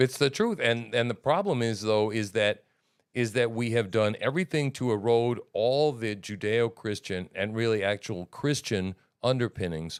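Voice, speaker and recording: Recorded very cleanly against a silent background with a dry, close sound and no echo, a man speaks at a fairly slow pace and medium pitch with ordinary pitch variation. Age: 60s. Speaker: livestream host. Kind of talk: casual chat. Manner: animated.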